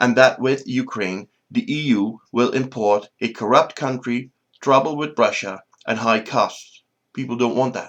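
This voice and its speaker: A man with a Dutch accent speaks at medium pitch. He keeps a fairly slow pace and fairly even intonation. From Netherlands. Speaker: political commentator. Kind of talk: opinion monologue.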